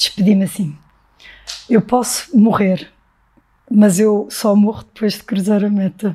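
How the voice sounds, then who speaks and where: This voice has a dark, mellow tone, a somewhat breathy quality and fairly even intonation. It moves at a fairly slow pace with big swings in loudness and long, frequent pauses. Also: woman, medium pitch for a woman. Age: 40s. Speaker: marathon runner and flight attendant. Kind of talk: casual interview conversation.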